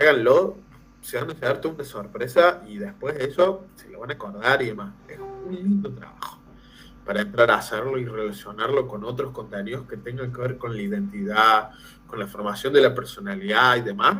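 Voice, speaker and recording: A man talks at a moderate pace and a medium pitch. His pitch swings very widely and his loudness rises and falls a lot. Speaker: teacher trainer, language lecturer. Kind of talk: lecture. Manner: animated, conversational.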